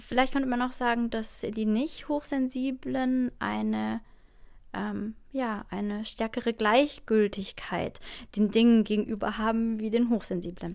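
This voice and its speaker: A woman's fairly high voice keeps a fairly even intonation and a fairly slow pace. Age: 30s. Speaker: podcast host. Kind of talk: casual solo talk. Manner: hesitant, many fillers.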